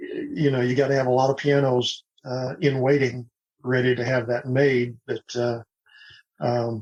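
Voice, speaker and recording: A man talks at a fairly slow pace with an American accent. His voice is somewhat breathy and sits at a medium pitch. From Oklahoma. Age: 60s. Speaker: retired pilot and piano upcycler. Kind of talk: podcast interview.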